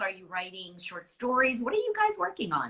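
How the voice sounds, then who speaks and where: A woman projects her voice at a moderate pace, high in pitch with very wide swings. Her tone is bright and sharp. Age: 60s. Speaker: novelist. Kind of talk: casual chat.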